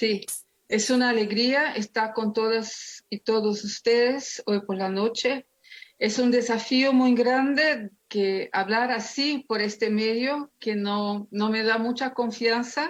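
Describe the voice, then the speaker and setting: A woman with a non-native accent speaks at a very slow pace, with a fairly high pitch and fairly even intonation. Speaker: theologian and pastor. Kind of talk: lecture.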